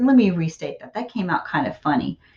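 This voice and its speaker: Somewhat breathy, a woman's medium-pitched voice moves with lively intonation. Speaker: college writing instructor. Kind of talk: recorded lecture.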